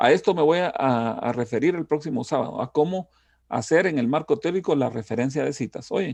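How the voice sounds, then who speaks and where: A man speaks at a fairly high pitch with lively intonation against a quiet background. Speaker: university lecturer. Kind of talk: lecture. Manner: trying to speak slowly.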